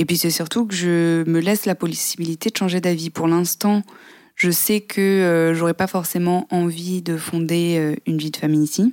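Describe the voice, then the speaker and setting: With an unremarkable speaking voice, a woman talks at a moderate pace in a fairly low pitch and fairly even intonation, on a very clean recording with a silent background and a dry, close sound with no echo. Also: very even loudness. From southern France, near Aix-en-Provence. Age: 20s. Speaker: podcast guest. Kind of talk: interview.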